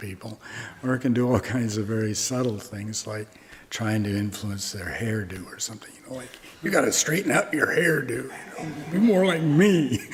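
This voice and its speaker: There is noticeable background noise as a man talks with a Midwestern US accent. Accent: General American, Midwestern. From US Midwest, Omaha, Nebraska. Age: 80s+. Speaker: Zen master, Buddhist monk teacher. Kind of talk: dharma talk with questions and answers. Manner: casual, conversational.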